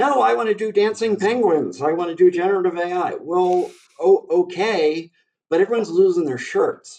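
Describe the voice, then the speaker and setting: At a moderate pace, a man with an American accent speaks at a high pitch for a man, with ordinary pitch variation. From Baltimore, US. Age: 60s. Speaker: AI expert. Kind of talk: podcast interview.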